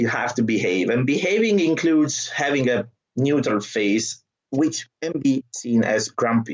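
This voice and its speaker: A man speaks at a medium pitch with an Italian accent. His intonation is lively and his pace fairly slow. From southern Italy. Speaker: trainer and stand-up comedian. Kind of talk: podcast interview.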